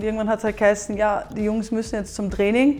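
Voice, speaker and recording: A woman is speaking in a medium pitch. There is music in the background. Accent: Austrian. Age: 20s. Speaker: professional football goalkeeper. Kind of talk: interview monologue.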